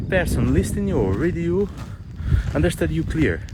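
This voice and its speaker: A man talks with a non-native accent. Room echo is audible, and background noise is noticeable. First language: not English. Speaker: spiritual vlogger. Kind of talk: casual vlog monologue while walking. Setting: outdoors, hiking uphill. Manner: halting, many fillers and repeats.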